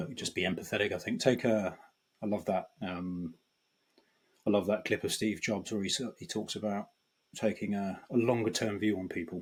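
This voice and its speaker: A man speaks in a British accent at a moderate pace, his pitch fairly low with ordinary variation. The recording is very clean, with a silent background. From Britain. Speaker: banking data executive. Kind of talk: podcast interview. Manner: halting, many fillers and restarts.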